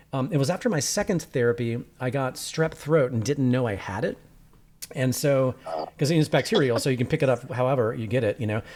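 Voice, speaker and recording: Pitch shifts in an ordinary way throughout. The delivery runs at a fairly quick pace. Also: man. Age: 50s. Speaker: podcast host and documentary filmmaker. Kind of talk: casual interview chat. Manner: fast; high-strung, animated.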